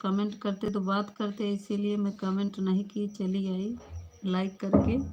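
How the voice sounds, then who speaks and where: Somewhat breathy and dark, mellow in tone, the voice holds a flat, monotone intonation. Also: woman. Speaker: live stream host. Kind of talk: live stream chat with viewers. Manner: casual, chatty.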